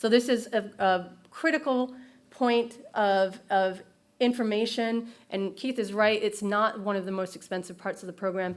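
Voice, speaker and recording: A fairly high-pitched woman at a moderate pace, with ordinary pitch variation, on a very clean recording with a silent background. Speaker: regional planner presenting at a conference. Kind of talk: conference presentation. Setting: stage with audience. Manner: hesitant, many fillers.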